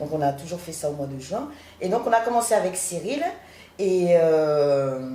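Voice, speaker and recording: Speaking at a fairly slow pace and fairly low pitch, a woman shows big swings in loudness, with audible room echo and noticeable background noise. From Paris, France (born in Haiti, arrived at 10). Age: 40s. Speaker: guest house owner and art gallerist. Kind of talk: interview.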